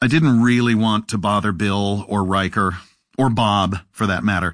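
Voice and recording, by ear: Someone reads aloud in a natural voice. No noise intrudes from behind.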